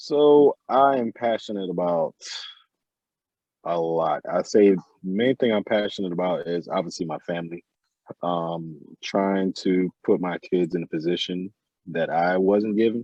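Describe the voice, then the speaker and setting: With an American accent and a very deep, low pitch, a man speaks with ordinary pitch variation and long, frequent pauses. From Jamaica, Port Antonio. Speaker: interviewee sharing life story. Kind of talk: casual interview. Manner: halting, with repetitions.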